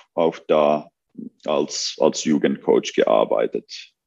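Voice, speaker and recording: Speaking very slowly, a man talks with a Finnish accent. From Finland. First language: Finnish (speaking German). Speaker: basketball coach. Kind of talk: interview. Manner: halting.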